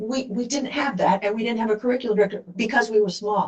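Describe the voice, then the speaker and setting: An ordinary speaking voice from a woman, fairly high in pitch, at a fairly quick pace. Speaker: task force member. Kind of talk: public meeting presentation.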